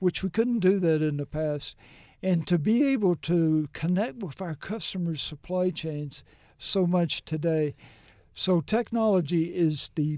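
Dry and close with no echo, a man's high-pitched voice comes through in a dark, mellow tone. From US South, Mississippi. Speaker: business executive. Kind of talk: interview.

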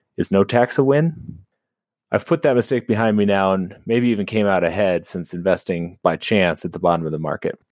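This man has a plain, everyday voice with an American accent, fairly low in pitch and lively in intonation. He talks at a fairly quick pace over a quiet background, with a dry, close sound and no echo. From US Colorado. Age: 30s. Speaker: caller. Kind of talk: casual question call-in. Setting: phone call.

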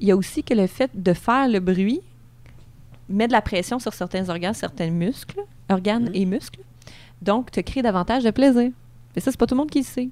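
A woman with a Quebec accent, a dark, mellow tone, lively intonation and long, frequent pauses. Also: fairly high pitch for a woman, moderate pace. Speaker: sexologist. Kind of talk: casual chat.

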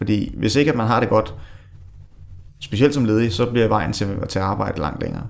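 A man talks at a fairly quick pace in a fairly low pitch, with ordinary pitch variation. He leaves long, frequent pauses. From Denmark, Allerød (North Zealand). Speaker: unemployed job seeker. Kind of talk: interview. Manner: halting.

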